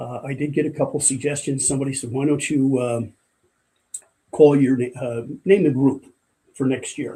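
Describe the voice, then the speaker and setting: A man with an American accent speaks in a fairly high, somewhat breathy voice. His tone is dark and mellow, and his intonation stays fairly even. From US Northeast, Port Jervis, New York. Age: 70s. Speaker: retired firefighter and corrections officer. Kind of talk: casual interview chat. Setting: studio.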